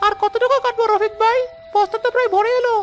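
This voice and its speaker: A woman performs a cartoonish character voice at a fairly quick pace and very even loudness, with clear music in the background. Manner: fearful, whiny.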